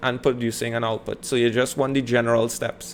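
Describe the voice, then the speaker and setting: Speaking in a Trinidadian accent, a man uses a monotone, flat intonation at medium pitch and a moderate pace. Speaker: teacher. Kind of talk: educational lecture.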